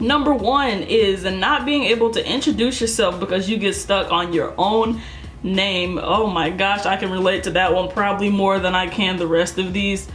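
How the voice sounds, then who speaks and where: Over background music and audible room echo, a woman speaks at a moderate pace and medium pitch, with ordinary pitch variation and very even loudness. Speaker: youtuber. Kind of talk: casual vlog. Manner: casual.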